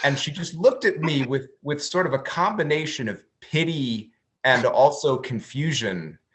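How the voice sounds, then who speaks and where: An ordinary speaking voice at a moderate pace. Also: man, fairly high pitch for a man, ordinary pitch variation. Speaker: woodworking YouTuber. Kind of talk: interview conversation.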